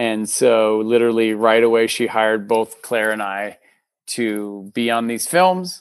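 Against a quiet background, a man with an American accent uses an ordinary speaking voice at medium pitch and a moderate pace. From US, Texas then Minnesota. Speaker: filmmaker and actor. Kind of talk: casual interview.

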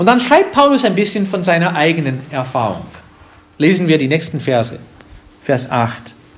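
Pitched high, a man speaks with very wide pitch swings. Long, frequent pauses break his speech over noticeable background noise. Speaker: pastor. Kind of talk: sermon. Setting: church. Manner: didactic, earnest, warm; unhurried, explaining verse by verse.

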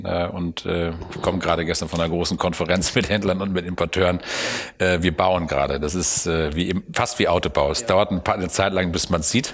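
A man speaks at a fairly quick pace in a very deep, low voice, his intonation fairly even over noticeable background noise. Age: 50s. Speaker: car company executive. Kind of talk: interview. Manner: halting.

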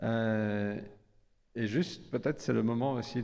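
Here a man's voice carries a dark, mellow tone with ordinary pitch variation. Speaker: church leader. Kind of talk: prayer. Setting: church.

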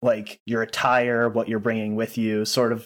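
The reading voice here is unforced.

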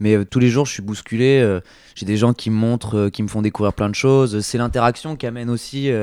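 In a very clean recording with a silent background, a man speaks at a moderate pace with a medium pitch, a dark, mellow tone and fairly even intonation. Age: 20s. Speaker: record shop owner. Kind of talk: interview. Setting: record shop. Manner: halting, many fillers.

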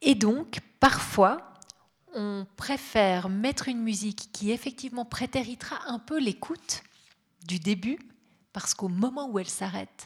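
At a fairly slow pace, a somewhat breathy voice speaks with ordinary pitch variation. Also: woman. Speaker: radio journalist. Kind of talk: panel talk with host.

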